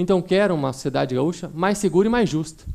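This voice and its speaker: Lively in intonation, a man speaks in a high pitch at a moderate pace. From São Paulo state, Campinas. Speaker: prosecutor. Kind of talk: courtroom closing argument to jury. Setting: courtroom jury trial. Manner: formal.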